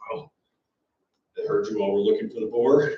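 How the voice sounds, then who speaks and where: In a raspy, put-on character voice, a man talks at a fairly quick pace with big swings in loudness. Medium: actual play.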